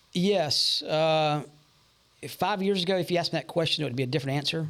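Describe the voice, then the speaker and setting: A man speaks with an American accent and an unremarkable speaking voice. His pace is fairly quick, with ordinary pitch variation. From Charlotte, North Carolina. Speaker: auto repair shop owner. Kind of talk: casual interview.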